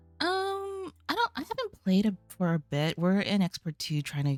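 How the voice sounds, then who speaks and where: Quiet and at a moderate pace, a woman speaks on a very clean recording with a silent background and a dry, close sound with no echo. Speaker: vtuber streamer. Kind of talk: casual livestream chat.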